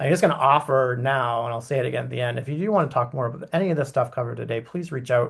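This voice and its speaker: The voice has vocal fry and moves at a very fast pace. The background is quiet. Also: man. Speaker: consultant / webinar speaker. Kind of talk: webinar presentation. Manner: animated.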